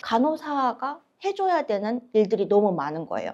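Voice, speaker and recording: Swinging very widely in pitch, a woman speaks with a fairly high voice. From South Korea, Seoul. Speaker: nurse. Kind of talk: interview.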